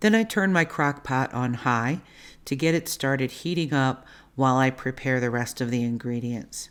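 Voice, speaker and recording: The speaker has an American accent, a calm tone and lively intonation. The recording is very clean, with a silent background. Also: woman, very deep, low pitch for a woman, moderate pace. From Baltimore, US. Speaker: cooking channel host. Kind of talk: cooking tutorial. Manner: calm, instructional.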